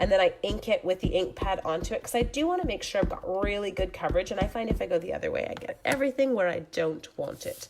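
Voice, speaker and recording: Music runs behind a woman who speaks at a very fast pace. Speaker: papercraft demonstrator. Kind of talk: live craft tutorial.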